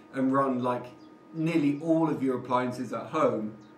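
A man at a moderate pace with fairly even intonation, with light background noise and audible room echo. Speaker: renovation vlogger. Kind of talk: casual vlog chat. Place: empty room. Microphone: camera far.

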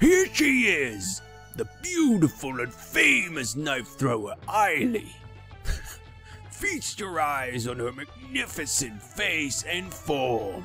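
Over clear music in the background, a man uses a put-on character voice at a very slow pace. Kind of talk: showman's announcement. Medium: game stream. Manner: loud, proud, hamming it up.

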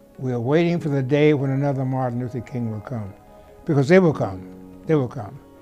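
Faint music sits in the background. Over it, a man talks with ordinary pitch variation. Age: 80s+. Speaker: friend of a civil rights leader; interviewee. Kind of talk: interview reminiscence. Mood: reflective, earnest. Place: home room.

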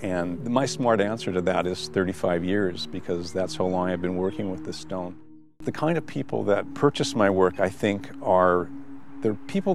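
Faint music sits behind a man whose voice has a very deep, low pitch. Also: dry sound with no echo. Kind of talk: interview answer. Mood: calm, reflective. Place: garden.

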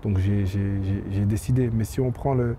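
A man's dark, mellow, somewhat breathy voice with fairly even intonation, dry sound with no echo and light background noise. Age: 20s. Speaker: professional footballer; interviewee. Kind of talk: interview. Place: stadium. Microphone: handheld.

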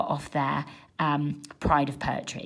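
Vocal fry runs through this voice at a fairly slow pace. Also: woman, quiet background. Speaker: english teacher. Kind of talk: tutorial. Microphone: phone near.

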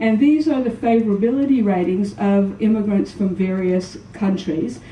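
Her intonation lively, a woman with an American accent speaks at a moderate pace, with audible room echo and light background noise. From US South, New Orleans. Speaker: psychology professor and researcher. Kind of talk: conference presentation. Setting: stage with audience. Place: hall. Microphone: podium.

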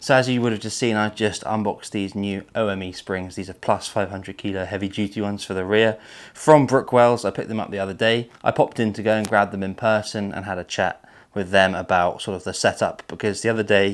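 Speaking in a normal speaking voice, a man keeps a fairly low pitch, fairly even intonation and a fairly quick pace. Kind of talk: casual vlog chat. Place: garage.

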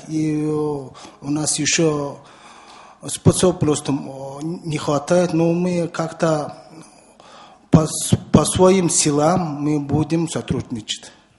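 The speech comes at a very slow pace with a Mongolian accent. Intonation stays monotone and flat. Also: man, long, frequent pauses. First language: Mongolian (speaking Russian). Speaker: environmental activist. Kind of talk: round table discussion. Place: meeting room. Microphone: podium.

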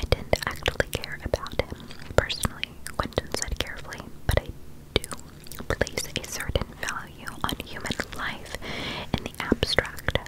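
A soft-spoken, whispering voice at a moderate pace. Long pauses come often. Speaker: book reader. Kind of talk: soft read-aloud, ASMR-style. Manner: soft ASMR reading voice, near-whisper.

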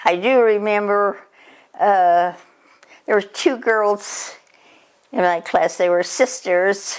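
Against a quiet background, a woman speaks very slowly at medium pitch with very even loudness, ordinary pitch variation, and long, frequent pauses. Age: 80s+. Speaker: grandmother sharing memories. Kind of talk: reminiscing interview. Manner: halting. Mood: reflective, gently amused. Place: home room. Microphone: camera far.

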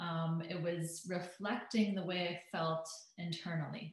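A woman with a Canadian accent speaks at a moderate pace. Her fairly low voice is somewhat breathy. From Alberta, Canada. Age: 30s. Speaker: hypnotherapist and transformational coach. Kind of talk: interview chat, personal testimony.

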